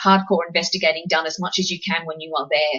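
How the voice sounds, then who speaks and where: The speaker talks at a very fast pace in an Australian accent. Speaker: paranormal investigator presenting a webinar. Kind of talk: webinar presentation.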